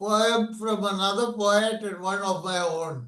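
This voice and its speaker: The man has an Indian accent and a high pitch. He speaks at a very slow pace. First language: an Indian language. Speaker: poet. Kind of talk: casual chat. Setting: video call.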